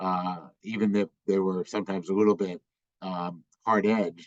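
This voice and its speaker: A man speaks in a very deep, low pitch with monotone, flat intonation. The sound is dry and close, with no echo. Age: 60s. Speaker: law school dean. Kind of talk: virtual town hall Q&A. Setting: video call. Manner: halting, many fillers.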